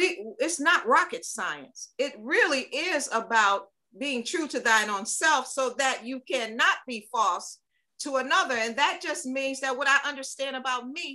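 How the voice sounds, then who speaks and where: A woman with a high pitch uses a raised, projected voice in a bright, sharp tone, her lively intonation and big swings in loudness moving along at a moderate pace. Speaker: guest, musician and speaker on race. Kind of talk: casual conversation interview. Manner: animated, lively.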